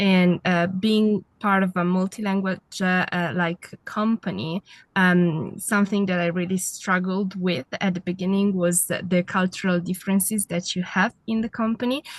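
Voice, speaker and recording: The somewhat breathy voice moves at a moderate pace with hardly any pauses and fairly even intonation, in a dry, close sound with no echo. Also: woman, medium pitch for a woman. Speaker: IT project manager and consultant. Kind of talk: podcast interview.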